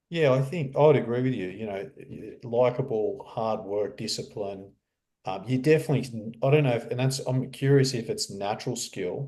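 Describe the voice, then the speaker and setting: A man's medium-pitched, somewhat breathy voice with a dark, mellow tone, at a moderate pace with ordinary pitch variation. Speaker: real estate coach. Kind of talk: podcast interview host.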